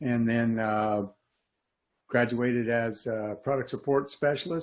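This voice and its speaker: A man's medium-pitched voice with ordinary pitch variation and a fairly slow pace, over a quiet background. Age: 60s. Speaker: HVAC technician and trainer. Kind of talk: interview.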